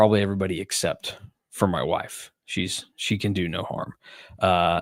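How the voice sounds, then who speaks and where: A quiet man's fairly low voice at a moderate pace, monotone and flat, with a dry, close sound and no echo. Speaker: sports podcast host. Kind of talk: casual chat. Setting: at home, video call. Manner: hushed, quiet.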